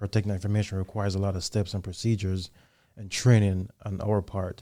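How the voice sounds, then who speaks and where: A man with a Jamaican accent talks at a fairly quick pace. His fairly low pitch carries a dark, mellow tone. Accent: Jamaican accent, still noticeable. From Jamaica, Kingston. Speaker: army soldier, intelligence analyst. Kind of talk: podcast interview.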